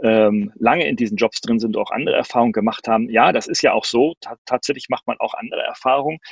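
In a dry, close sound with no echo, a man delivers his words at a fairly quick pace. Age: 50s. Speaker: professor and speaker on digitalization. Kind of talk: online talk and Q&A. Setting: video call with green screen.

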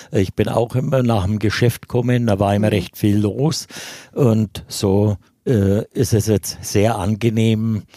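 A man at a very slow pace, with a dark, mellow tone, fairly low pitch, fairly even intonation and very even loudness, on a very clean recording with a silent background. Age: 60s. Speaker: longtime sports club member and handball coach. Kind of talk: podcast interview. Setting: studio.

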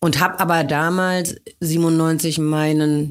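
Monotone, flat intonation from a woman. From western Germany, small town. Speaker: club owner and industry association head. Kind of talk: interview.

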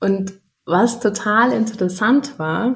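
Very slowly, a woman speaks in a somewhat breathy voice at a fairly high pitch with lively intonation. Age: 30s. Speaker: mother sharing birth story. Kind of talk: interview.

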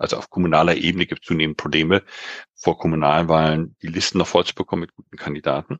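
A very deep, low-pitched man at a very fast pace, flat and monotone, recorded dry and close with no echo. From Global South (grew up abroad until 19). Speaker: democracy and governance consultant, researcher. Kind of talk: interview. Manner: halting with many fillers.

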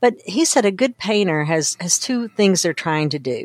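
A woman speaks in a normal speaking voice at a medium pitch with an American accent. Her moderate pace comes through in a dry, close sound with no echo. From Kentucky, US South. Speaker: data storytelling consultant. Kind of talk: interview.

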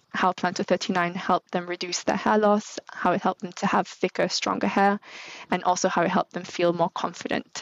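A woman with a Manchester accent and a medium pitch speaks at a moderate pace in a flat monotone. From northern England. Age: 30s. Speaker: brand manager. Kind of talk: interview.

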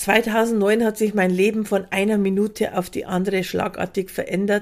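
Speaking in a normal speaking voice, a woman with a fairly high pitch keeps a moderate pace. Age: 50s. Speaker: podcast host and prevention coach. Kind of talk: scripted monologue.

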